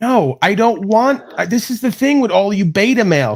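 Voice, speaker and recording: With lively intonation, a man speaks in a high-pitched voice. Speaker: talk show host. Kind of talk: heated debate. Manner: fast; animated.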